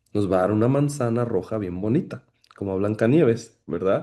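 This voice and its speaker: A man's medium-pitched voice with a dark, mellow tone, over a quiet background. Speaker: pastor teaching a ministry class. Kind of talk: lecture.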